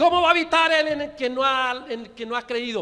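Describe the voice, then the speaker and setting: Extremely high in pitch, a man's voice comes across bright and sharp. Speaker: pastor. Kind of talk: sermon. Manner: fast; stutters at times.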